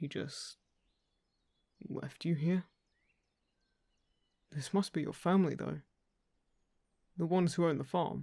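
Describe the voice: Using a put-on character voice, a man speaks slowly at a fairly high pitch with a dark, mellow tone, vocal fry, and long, frequent pauses. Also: ordinary pitch variation.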